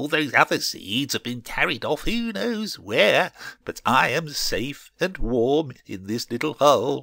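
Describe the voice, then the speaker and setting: A man's put-on character voice, fairly high in pitch with very wide pitch swings, at a fairly slow pace in a very clean recording with a silent background. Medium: read story. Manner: petulant, boastful.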